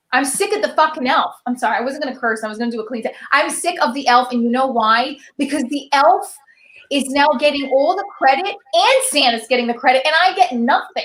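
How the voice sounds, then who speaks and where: Animated in tone, a woman talks at a fairly quick pace in a high voice. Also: ordinary pitch variation. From Italian-American household, US. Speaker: stand-up comedian. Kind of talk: stand-up. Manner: fast.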